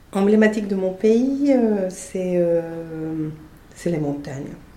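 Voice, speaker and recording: A voice with a Spanish accent is heard amid noticeable background noise and audible room echo. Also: woman. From Colombia. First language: Spanish (speaking French). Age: 40s. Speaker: podcast guest. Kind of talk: interview. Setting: in person. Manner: halting.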